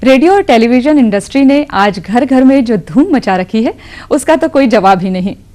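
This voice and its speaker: Her pitch swinging very widely, a woman with a fairly high voice talks at a moderate pace. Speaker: anchor. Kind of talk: award show host narration.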